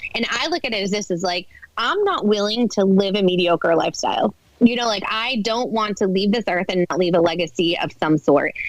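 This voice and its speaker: A woman with an American accent talks at a fairly quick pace in an animated tone. Her medium pitch has ordinary variation, and background noise is noticeable. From Boston, US Northeast. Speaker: mom influencer. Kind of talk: podcast interview.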